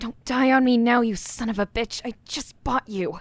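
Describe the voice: This is a put-on character voice. It keeps a moderate pace and fairly even intonation. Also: woman, high pitch for a woman.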